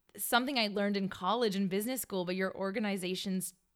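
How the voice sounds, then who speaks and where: The clip has an ordinary speaking voice. Its pitch variation is ordinary. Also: woman. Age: 30s. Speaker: wedding planner, business owner. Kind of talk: casual interview chat.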